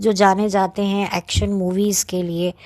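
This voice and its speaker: A soft-spoken woman talks at a medium pitch. The sound is dry and close with no echo, and the background is quiet. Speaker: YouTuber film reviewer. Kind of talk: casual monologue film review.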